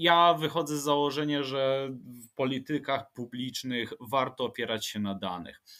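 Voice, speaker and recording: This man has an unremarkable speaking voice with a fairly high pitch, ordinary pitch variation, a fairly slow pace and big swings in loudness. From Łódź, Poland. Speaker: urban planner and transport expert. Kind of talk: interview, expert explanation.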